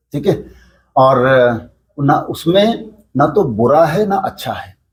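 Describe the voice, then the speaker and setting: A man's fairly high voice comes across somewhat breathy, with lively intonation. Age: 60s. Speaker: yoga teacher and local businessman. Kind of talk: interview.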